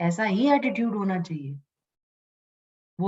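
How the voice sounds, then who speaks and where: A woman's medium-pitched, somewhat breathy voice with lively intonation at a very slow pace. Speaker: Upanishad teacher. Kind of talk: lecture.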